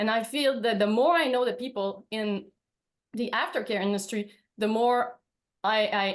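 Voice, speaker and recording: With a Quebec accent, a woman speaks at a fairly high pitch and ordinary pitch variation. She keeps a moderate pace with long, frequent pauses. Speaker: veterinarian. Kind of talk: webinar presentation.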